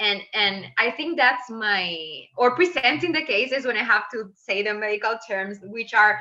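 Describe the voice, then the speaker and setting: A woman speaks with a Venezuelan accent at a fairly slow pace, with hardly any pauses. Her pitch is fairly high and her intonation lively. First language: Spanish. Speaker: medical resident. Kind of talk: interview.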